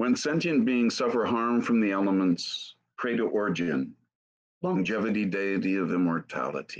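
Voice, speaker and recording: A fairly low-pitched man speaks at a moderate pace with very wide pitch swings. The background is quiet. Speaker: session organizer. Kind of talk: reading aloud. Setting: video call. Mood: calm, devotional. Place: home room. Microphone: webcam.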